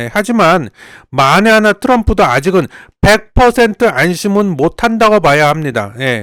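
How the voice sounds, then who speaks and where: Recorded very cleanly against a silent background, a man speaks at a moderate pace with very wide pitch swings, the sound dry and close with no echo. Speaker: political commentator. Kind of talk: casual explainer monologue. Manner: animated; stumbles over words.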